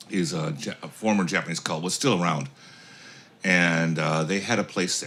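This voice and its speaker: A man's very deep, low voice at a moderate pace, with ordinary pitch variation and noticeable background noise. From United States. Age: 60s. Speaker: author. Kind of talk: casual chat.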